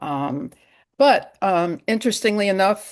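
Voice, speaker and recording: A woman with a medium pitch and a Massachusetts accent, over a quiet background. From US Northeast, Western Massachusetts. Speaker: psychotherapist, yoga therapist and author. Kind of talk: interview.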